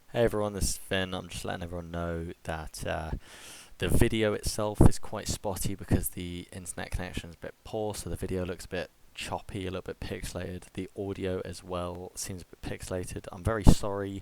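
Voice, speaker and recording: A soft-spoken man with a very deep, low voice talks at a fairly quick pace in a flat monotone. His loudness swings widely. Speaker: podcast host. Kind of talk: casual chat. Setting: video call.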